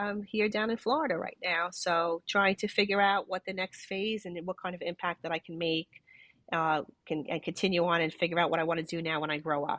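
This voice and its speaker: Speaking at a fairly quick pace in a New York accent, a woman keeps a medium pitch with ordinary pitch variation. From New York City, Brooklyn. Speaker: retired police detective. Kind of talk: interview. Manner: halting, many repetitions.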